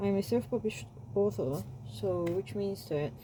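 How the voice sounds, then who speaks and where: A woman speaks with a non-native accent. Her tone is relaxed. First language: not English. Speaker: self-published romance author and YouTuber. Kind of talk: casual vlog talk. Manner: halting, with repeated words and self-corrections; rambling, relaxed.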